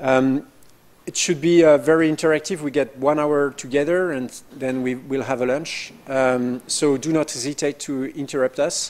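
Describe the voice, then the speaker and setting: A man's fairly high pitch in a French accent, fairly even intonation and moderate pace, with noticeable background noise. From France. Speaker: professor. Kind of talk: information session presentation. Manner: hesitant, many fillers.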